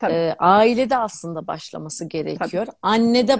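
Over a quiet background, a woman speaks at a fairly quick pace with ordinary pitch variation, the sound dry with no echo. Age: 50s. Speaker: academic, distance-education channel host; distance-education channel host. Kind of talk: live-stream interview. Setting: live video stream. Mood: warm, smiling. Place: home room. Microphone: video call.

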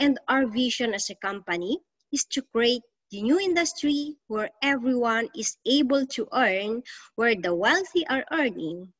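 Against a quiet background, the speaker moves at a fairly slow pace with very wide pitch swings. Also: woman. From Philippines, Ilocos; Philippines. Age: 40s. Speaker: financial coach. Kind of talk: online financial seminar. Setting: video livestream from a room at home. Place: home room. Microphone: webcam.

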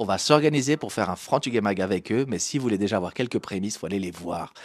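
A man's fairly low voice at a very fast pace, with lively intonation and a dry sound with no echo. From France, Portuguese immigrant family. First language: Portuguese (speaking French). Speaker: comedian and show host; show host, comedian. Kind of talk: live-streamed talk show interview. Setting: live stream on Facebook and Instagram. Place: studio. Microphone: handheld.

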